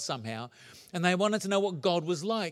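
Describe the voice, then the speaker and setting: Talking at a fairly quick pace, a man with a New Zealand accent uses a high pitch and lively intonation. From New Zealand (moved from England at nine). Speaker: pastor. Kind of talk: sermon.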